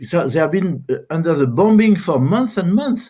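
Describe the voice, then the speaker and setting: In a dark, mellow tone, a man with a high pitch talks at a moderate pace, his pitch swinging very widely. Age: 70s. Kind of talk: interview conversation. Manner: halting, many repetitions.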